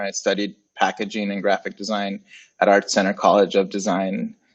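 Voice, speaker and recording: A man speaks with a Spanish accent at a moderate pace. His pitch is fairly low. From Puerto Rico / Dominican Republic. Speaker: graphic designer and agency founder. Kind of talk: casual interview. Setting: livestream.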